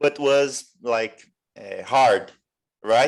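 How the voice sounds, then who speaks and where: A man speaks with a Portuguese accent. The background is quiet. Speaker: English learner. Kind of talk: English conversation class. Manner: halting, many restarts; stutters at times.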